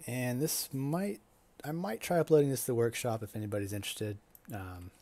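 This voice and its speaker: A man's medium-pitched voice, dark and mellow in tone, at a fairly quick pace. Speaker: video game streamer. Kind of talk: gameplay commentary. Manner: monotone; hesitant, many fillers.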